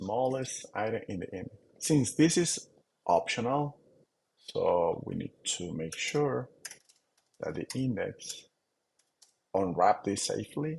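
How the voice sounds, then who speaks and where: With a non-native accent, a man speaks very slowly at a medium pitch, using very wide pitch swings and long, frequent pauses. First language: not English. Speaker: software developer. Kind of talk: tutorial. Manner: halting, with fillers.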